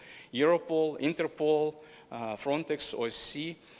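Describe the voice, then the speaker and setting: This man has an ordinary speaking voice. He talks at a fairly slow pace with fairly even intonation. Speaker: company representative presenting at a conference. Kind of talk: conference presentation.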